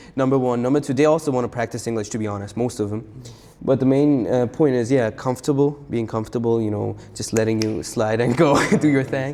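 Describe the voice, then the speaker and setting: A man speaks at a very fast pace with a Persian accent. His medium-pitched voice keeps a fairly even intonation. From Iran, then South Korea from age 7. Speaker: freestyle rapper. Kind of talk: casual chat. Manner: casual, with many fillers.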